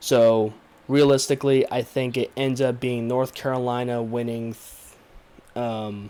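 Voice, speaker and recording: Flat and monotone, a man with a medium pitch and a dark, mellow tone speaks at a fairly slow pace. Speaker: sports commentary youtuber. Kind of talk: solo sports preview monologue. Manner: filler-heavy, hesitant.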